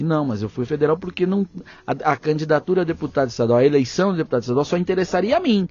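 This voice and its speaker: Talking very fast, the man's fairly high voice rises and falls with lively intonation. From interior of São Paulo state, Brazil (Pontal do Paranapanema). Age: 30s. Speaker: journalist and federal congressman. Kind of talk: podcast interview. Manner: animated.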